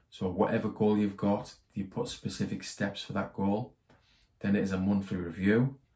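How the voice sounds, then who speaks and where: The voice carries a British accent and a dark, mellow tone, somewhat breathy. It moves at a moderate pace with fairly even intonation. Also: man, fairly low pitch for a man. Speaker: personal finance YouTuber. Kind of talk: tutorial. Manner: monotone.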